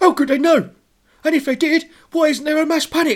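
The voice is a squeaky, high-pitched put-on character voice. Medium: read story.

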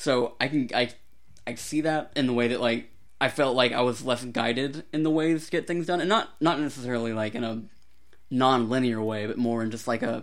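A man talks in a normal speaking voice at medium pitch. He goes at a fairly quick pace with ordinary pitch variation. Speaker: podcast co-host. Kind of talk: casual chat. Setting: remote recording over Discord.

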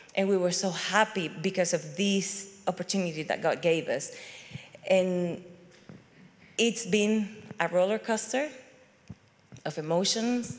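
A woman with a Venezuelan accent talks at a fairly slow pace, leaving long, frequent pauses. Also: medium pitch for a woman, ordinary pitch variation. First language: Spanish. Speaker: immigrant church member. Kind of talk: testimony. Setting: stage with audience. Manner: animated.

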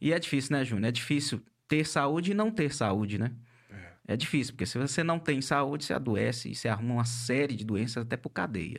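A man with a normal speaking voice, medium pitch and lively intonation, at a fairly quick pace, on a very clean recording with a silent background. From northern Minas Gerais, Brazil. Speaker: podcast host, coach. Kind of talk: interview podcast, casual chat. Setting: studio, live-streamed.

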